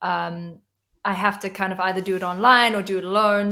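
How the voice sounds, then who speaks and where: With an American accent, a woman talks at a fairly quick pace in a medium pitch, her tone bright and sharp and her intonation fairly even. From South Africa. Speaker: singer-songwriter. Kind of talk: interview on a livestream. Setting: video call from home.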